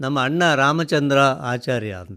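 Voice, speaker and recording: A man speaks in a plain, everyday voice, pitched fairly high for a man with ordinary pitch variation. The recording is very clean, with a silent background. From coastal Karnataka, Udupi district (Karkala). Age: 60s. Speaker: writer and retired college principal. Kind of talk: radio interview.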